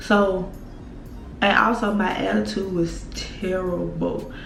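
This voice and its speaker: Over music in the background, a woman speaks at a medium pitch with an American accent. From Mississippi. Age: 20s. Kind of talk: casual storytime talk to camera.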